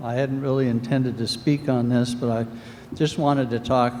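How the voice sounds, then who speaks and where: At a fairly slow pace, a man speaks in a monotone, flat intonation amid noticeable background noise. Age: 60s. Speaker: resident speaking at town meeting. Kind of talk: public comment at town meeting.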